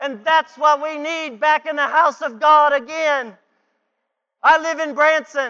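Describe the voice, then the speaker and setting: In a raised, projected voice, a man speaks at an extremely high pitch with a bright, sharp tone and a fairly slow pace. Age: 40s. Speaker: guest preacher. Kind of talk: sermon. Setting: church. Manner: animated.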